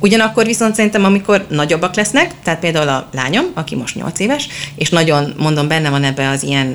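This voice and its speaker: At a fairly quick pace, a woman with a very deep, low pitch speaks with lively intonation. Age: 30s. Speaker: children's book blogger and mother. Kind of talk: interview. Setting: bookshop.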